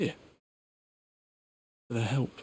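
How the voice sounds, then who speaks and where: A raspy, put-on character voice. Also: man. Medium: video game. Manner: dry, sardonic.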